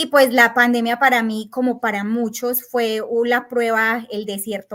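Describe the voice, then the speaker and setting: It's an ordinary speaking voice at a moderate pace. The recording is very clean, with a silent background. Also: woman. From Colombia, Antioquia. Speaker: tax agent. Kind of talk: interview. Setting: podcast.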